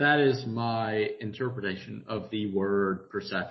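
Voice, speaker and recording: A man talks at a very slow pace with a strong Southern US accent. His voice is somewhat breathy. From US South. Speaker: podcast co-host. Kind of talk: casual chat.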